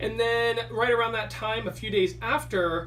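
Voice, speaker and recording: A man with an American accent speaks at a moderate pace amid audible room echo. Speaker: podcast host. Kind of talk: casual chat. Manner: loud.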